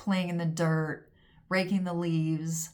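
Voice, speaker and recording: In an unremarkable speaking voice, a woman speaks fairly slowly at a fairly low pitch with fairly even intonation. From US West Coast, Pasadena, California. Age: 60s. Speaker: home organizer and former photographer. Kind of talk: casual vlog monologue. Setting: home studio at desk.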